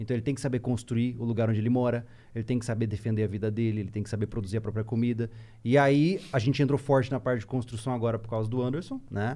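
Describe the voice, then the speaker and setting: A man speaks very fast at a medium pitch, his tone dark and mellow. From Mato Grosso do Sul, Brazil (Campo Grande). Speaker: survival instructor, YouTuber. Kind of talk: casual chat.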